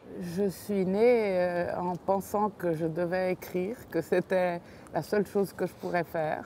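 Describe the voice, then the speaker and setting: A woman with a dark, mellow tone speaks at a very slow pace with a medium pitch. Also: fairly even intonation. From Italy, emigrated to Switzerland. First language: Italian (speaking French). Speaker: novelist. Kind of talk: casual chat.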